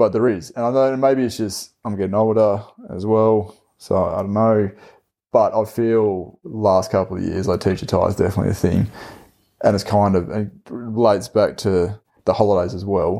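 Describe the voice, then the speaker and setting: In a quiet background, a man with an Australian accent speaks at fairly low pitch in a dark, mellow tone. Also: fairly even intonation, moderate pace. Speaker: podcast host, teacher. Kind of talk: casual chat.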